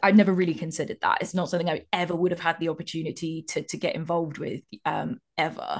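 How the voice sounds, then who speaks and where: Against a quiet background, a woman with an English accent talks very fast with hardly any pauses, in a fairly low voice with fairly even intonation. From England, childhood years in North Cyprus. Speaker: broadcast technical specialist. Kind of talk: interview. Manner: expressive.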